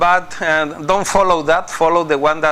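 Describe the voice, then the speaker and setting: The voice belongs to a man. It sounds bright and sharp. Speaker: visiting professor. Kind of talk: lecture. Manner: halting, many fillers.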